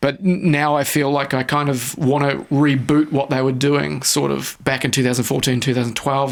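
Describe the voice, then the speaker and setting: Noticeable background noise sits behind a man with a fairly high pitch. He talks in a relaxed tone at a moderate pace with monotone, flat intonation. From New Zealand. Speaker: electronic music producer and production teacher. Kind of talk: radio interview answer. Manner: casual, relaxed.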